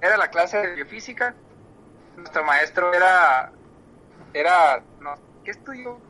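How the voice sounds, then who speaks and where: A man's high voice with lively intonation, big jumps in loudness, long and frequent pauses, and noticeable background noise. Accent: Mexican. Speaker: podcast co-host, physician. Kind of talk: casual chat.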